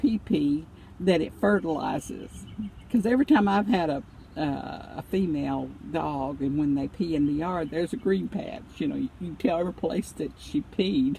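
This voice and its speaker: This woman's voice sits fairly low, with a dark, mellow tone and vocal fry. Her pitch swings very widely. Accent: Southern US. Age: 70s. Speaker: vlogger. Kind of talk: casual chat. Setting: in a car. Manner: halting.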